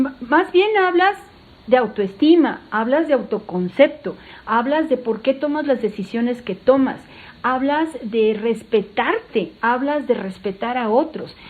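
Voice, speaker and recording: A woman's high-pitched, animated voice with lively intonation at a fairly slow pace. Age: 60s. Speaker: doctor and sex educator. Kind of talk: podcast interview.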